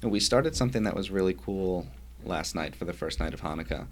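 Vocal fry runs through this man's speech. He talks in an American accent. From New York (Yonkers). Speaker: rabbi. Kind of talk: interview.

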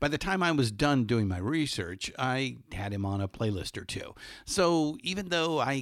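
Very wide pitch swings mark a man's medium-pitched voice with a Californian accent at a moderate pace, in a very clean recording with a silent background. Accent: General American (Californian). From Los Angeles. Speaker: podcast host. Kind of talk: spoken intro monologue; casual interview. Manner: frequent fillers and repetitions.

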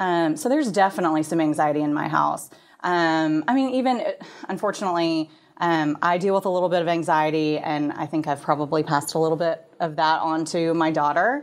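With an American accent and an ordinary speaking voice, a woman of fairly low pitch talks at a fairly quick pace, with ordinary pitch variation and very even loudness, on a very clean recording with a silent background. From Texas, Plano. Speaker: parenting blog team member. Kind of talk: interview.

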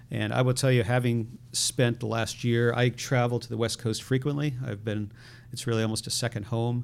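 A man with an American accent, medium pitch and flat monotone at a moderate pace, on a very clean recording with a silent background. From Connecticut, US. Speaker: tech startup CEO. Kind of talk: interview.

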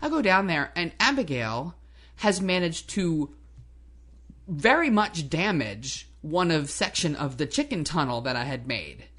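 Over a quiet background, a woman with an American accent and a fairly low pitch speaks at a fairly slow pace through very wide pitch swings. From New Jersey. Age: 50s. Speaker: co-host, hobby farmer. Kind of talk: casual chat. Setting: at home kitchen table. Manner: animated.

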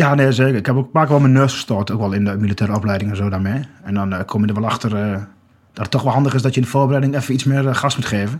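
Speaking very fast, a man uses a medium pitch with ordinary pitch variation. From Achterhoek, Netherlands (Groenlo). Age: 30s. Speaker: walker and commemoration campaigner. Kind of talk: podcast interview. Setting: studio.

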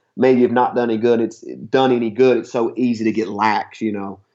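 Using fairly even intonation, a man with an Appalachian accent speaks at medium pitch. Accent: Appalachian Southern US. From southeast Kentucky (Harlan County). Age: 30s. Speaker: CrossFit gym owner and hunter. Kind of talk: casual interview. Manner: halting, many fillers and repeats.

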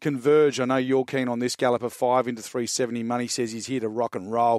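Speaking at a very fast pace, a man comes through with a dry, close sound and no echo. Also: very clean recording, silent background. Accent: Australian. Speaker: racing analyst. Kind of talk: horse racing preview chat. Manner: fast, stumbling over names.

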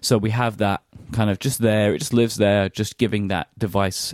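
On a very clean recording with a silent background and a dry, close sound with no echo, a man with a British accent speaks at a moderate pace and a fairly low pitch. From British Isles. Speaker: podcast host. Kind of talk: casual chat.

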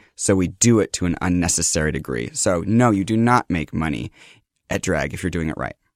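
A man's very deep, low voice, with vocal fry, moves at a fairly quick pace on a very clean recording over a silent background, dry and close with no echo. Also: lively intonation. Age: 30s. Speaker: drag queen. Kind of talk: casual interview. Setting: studio.

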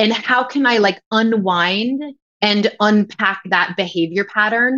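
An unremarkable speaking voice from a woman, fairly high in pitch, with an American accent. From New York area. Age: 40s. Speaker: yoga teacher and activist. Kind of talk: casual chat.

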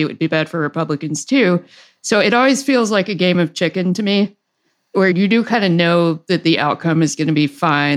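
With a slight Southern US accent, a woman talks at a very fast pace. Her pitch is fairly low, with ordinary pitch variation. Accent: mild Southern inflection. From US South. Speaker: podcast host, financial commentator.

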